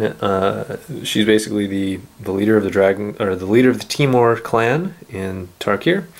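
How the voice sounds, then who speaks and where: The man has an ordinary speaking voice, fairly low in pitch, with ordinary pitch variation. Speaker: card game video host. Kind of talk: casual card-opening talk to camera.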